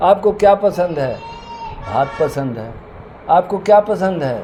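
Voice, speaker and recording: Noticeable background noise sits under a man's high-pitched voice, which makes very wide pitch swings. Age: 70s. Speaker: homeopathic doctor. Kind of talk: interview.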